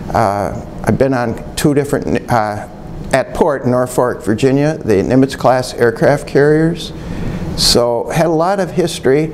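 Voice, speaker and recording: Against noticeable background noise, a man at medium pitch speaks fairly slowly, with very even loudness and ordinary pitch variation. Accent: Upper Midwest. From Michigan (Bay City). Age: 60s. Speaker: retired museum curator. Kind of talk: oral history interview. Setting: museum.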